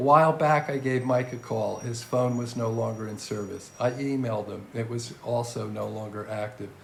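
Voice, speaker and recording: A man speaks at a moderate pace with hardly any pauses, his medium pitch and fairly even intonation set against noticeable background noise and audible room echo. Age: 70s. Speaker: podcast host. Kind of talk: scripted narration.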